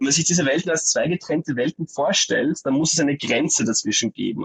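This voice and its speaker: A man with a fairly high pitch sounds somewhat breathy, recorded with a dry, close sound and no echo. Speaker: graduate, art education student. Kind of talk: interview about his thesis. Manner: animated.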